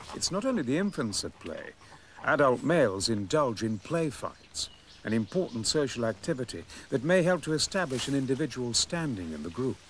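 Recorded dry with no echo and light background noise, a man speaks at a fairly quick pace with very wide pitch swings. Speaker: documentary narrator. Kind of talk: documentary narration. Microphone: old recording.

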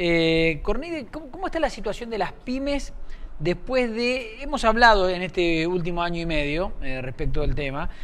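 The pace is moderate. Pitch swings are very wide. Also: man. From Argentina, Buenos Aires west (Castelar, Morón). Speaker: TV news show host. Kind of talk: TV interview. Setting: studio. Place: studio. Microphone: lapel.

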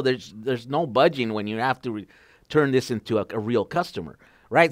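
With lively intonation, a man talks while the background stays quiet. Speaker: podcast host, EV enthusiast. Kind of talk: casual interview chat. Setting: video call. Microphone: headset.

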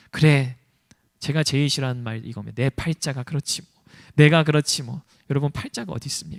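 The delivery is fairly quick and animated, with big swings in loudness. The recording is very clean, dry and close, with a silent background and no echo. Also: man, fairly high pitch for a man. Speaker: pastor. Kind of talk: sermon.

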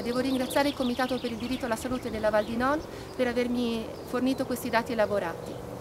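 Over noticeable background noise, a woman talks at a very fast pace in a high pitch. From Trentino, northern Italy. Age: 30s. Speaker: environmental activist. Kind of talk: appeal to support a protest march. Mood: serious, earnest. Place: open country.

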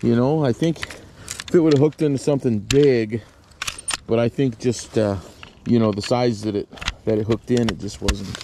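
A man at a moderate pace, with ordinary pitch variation, noticeable background noise and a dry sound with no echo. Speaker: fishing vlogger. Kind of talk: casual vlog chat. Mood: amused, laughing. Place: open country. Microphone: phone near.

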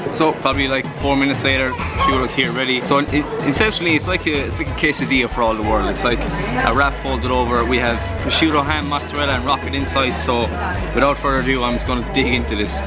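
A man talks at a very fast pace. Loud music plays behind him. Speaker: food vlogger. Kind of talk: casual vlog chat. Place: street. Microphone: phone near.

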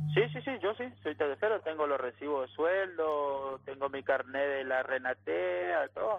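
An ordinary speaking voice from a man, fairly high in pitch, at a fairly slow pace with lively intonation. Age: 20s. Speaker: rural worker union representative. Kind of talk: phone interview.

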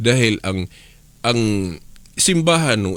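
A man with a medium pitch talks at a fairly slow pace, his voice making very wide pitch swings. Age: 50s. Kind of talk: radio religious teaching.

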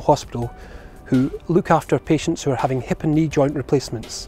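A man at a fairly quick pace with ordinary pitch variation, dry with no echo, over faint background music. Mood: calm, reassuring. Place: street. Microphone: lapel.

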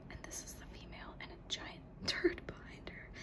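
The words come out in a whisper at a fairly slow speed. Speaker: ASMR creator. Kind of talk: ASMR soft-spoken video game tour. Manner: soft-spoken. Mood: gentle, amused. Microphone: phone near.

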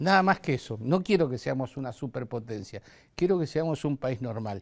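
A man with an Argentine accent speaks at a moderate pace with lively intonation over a quiet background. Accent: Argentine Spanish (voseo). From Argentina. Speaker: tourism TV host. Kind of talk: interview. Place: studio. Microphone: lapel.

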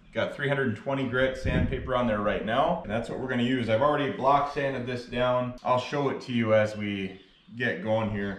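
Against light background noise and audible room echo, a man talks at a fairly quick pace with ordinary pitch variation. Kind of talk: tutorial. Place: garage. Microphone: camera far.

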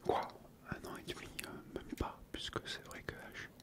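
A man talks at a very slow pace as loud background noise plays. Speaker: youtuber. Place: home room. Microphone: studio mic.

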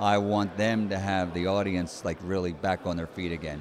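A man with an American accent, dry sound with no echo, and noticeable background noise. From United States. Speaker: ring announcer. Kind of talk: interview answer. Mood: friendly, animated storytelling. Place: hall. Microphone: handheld.

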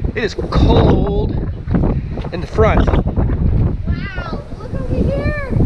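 A man speaks over loud background noise. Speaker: travel vlogger. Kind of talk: casual vlog chat. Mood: cheerful, amazed. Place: boat. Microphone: phone near.

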